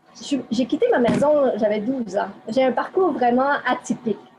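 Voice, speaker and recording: With noticeable background noise behind her, a woman speaks at a moderate pace and with ordinary pitch variation. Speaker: interviewee. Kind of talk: interview. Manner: hesitant.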